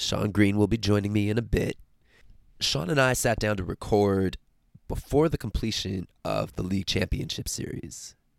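This man has a plain, everyday voice with fairly low pitch, ordinary pitch variation and a moderate pace. The very clean recording has a silent background and a dry, close sound with no echo. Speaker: podcast host and sports journalist. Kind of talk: podcast intro, scripted-style chat.

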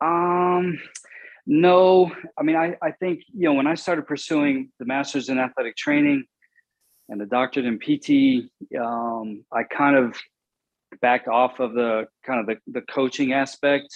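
A normal speaking voice with an American accent and ordinary pitch variation. The pace is fairly slow. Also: man, fairly high pitch for a man. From Southwest Virginia / East Tennessee (Appalachia). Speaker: sports physiotherapist / athletic trainer. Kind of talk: interview.

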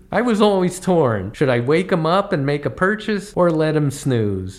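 A man with a fairly high voice speaks at a moderate rate, his pitch leaping very widely while noticeable noise fills the background. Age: 60s. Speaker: comedy travel podcaster. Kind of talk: scripted narration.

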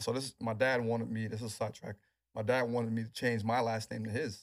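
A man's monotone, flat intonation at a very fast pace, on a very clean recording with a silent background. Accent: American. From New York City, Queens. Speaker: NFL strength and rehab trainer. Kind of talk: interview.

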